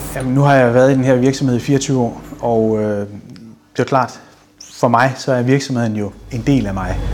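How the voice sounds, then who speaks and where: A man talks slowly, at a medium pitch with fairly even intonation. Noticeable background noise runs underneath. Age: 50s. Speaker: business owner. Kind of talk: interview.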